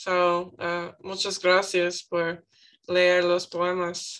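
A woman with an English accent, a bright, sharp tone and a very slow pace, against a quiet background. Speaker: student. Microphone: video call.

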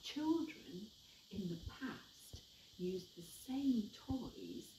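A woman speaks at a very slow pace with vocal fry, a dark, mellow tone and very wide pitch swings, over light background noise with audible room echo. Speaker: museum educator. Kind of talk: educational presentation for children. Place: hall. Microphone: camera far.

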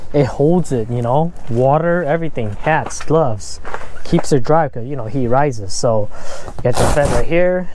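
A moderate pace over light background noise, with dry sound and no echo. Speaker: fishing vlogger. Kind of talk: casual vlog chat, gear review. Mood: enthusiastic. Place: tent. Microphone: phone near.

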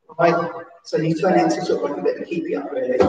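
A woman's pitch swings very widely. There is strong room echo and light background noise. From England. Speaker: PE teacher at a special school. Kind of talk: live-stream seated exercise class, calling out football celebration poses to copy. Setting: live stream from home during lockdown. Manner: animated, cheerful cheerleading with whoops and shout-outs; rambling, self-interrupting chatty asides. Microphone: camera far.

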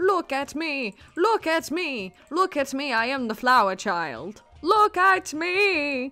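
Using a put-on character voice, the speaker goes at a fairly slow pace with hardly any pauses while faint music plays in the background. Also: woman, high pitch for a woman. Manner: boastful, mocking.

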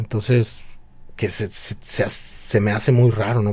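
A man's somewhat breathy voice carries a dark, mellow tone and fairly even intonation. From Mexico, Guadalajara; Jalisco, Mexico. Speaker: drummer and music teacher; music teacher. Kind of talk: casual chat. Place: home room. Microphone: studio mic.

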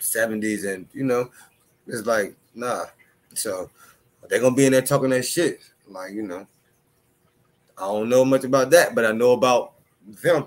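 Speaking at a moderate pace with long, frequent pauses, a man uses ordinary pitch variation while his loudness swings widely. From Chicago. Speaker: battle rap commentator. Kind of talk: casual solo commentary. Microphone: studio mic.

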